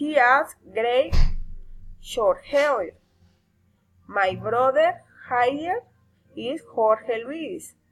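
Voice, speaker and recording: Over music in the background, a woman speaks at a very slow pace in a high pitch, with lively intonation and long, frequent pauses. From Colombia (Barrancabermeja). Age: 30s. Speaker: language student. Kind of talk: reading aloud.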